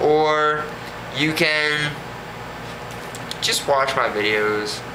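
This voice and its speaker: With ordinary pitch variation, the speech has long, frequent pauses, audible room echo and noticeable background noise. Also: man. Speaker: anime reviewer. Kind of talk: casual video review. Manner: hesitant with fillers and stammers.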